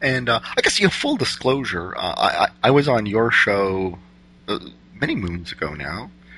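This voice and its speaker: Over noticeable background noise, a man of medium pitch speaks at a moderate pace with very wide pitch swings. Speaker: podcast host. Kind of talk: casual interview chat.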